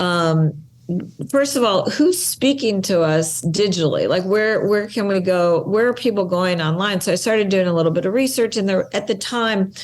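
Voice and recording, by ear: A woman at a medium pitch, with ordinary pitch variation and a moderate pace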